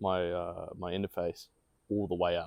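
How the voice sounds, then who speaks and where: A man with an Australian accent is heard on a very clean recording with a silent background and a dry, close sound with no echo. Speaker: podcast co-host and aspiring voice actor. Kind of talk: casual chat. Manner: animated.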